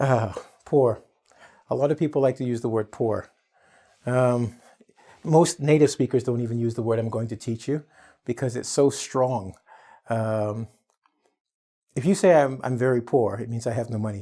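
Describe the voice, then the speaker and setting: Medium-pitched male speech, dark and mellow in tone, with ordinary pitch variation and long, frequent pauses. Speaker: English teacher. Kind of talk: tutorial. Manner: fast; animated.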